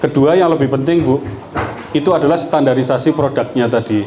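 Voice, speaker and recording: A man with a Yogyakarta accent speaks over noticeable background noise, with audible room echo. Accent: Javanese Yogyakarta. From Indonesia, Yogyakarta. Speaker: politician. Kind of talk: campaign talk to local women's group. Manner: conversational, informal.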